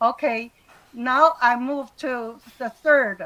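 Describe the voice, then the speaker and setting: A woman speaks with a Taiwanese accent. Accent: Taiwanese Mandarin-accented English. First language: Mandarin Chinese. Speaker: retired university lecturer. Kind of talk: webinar lecture. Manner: halting.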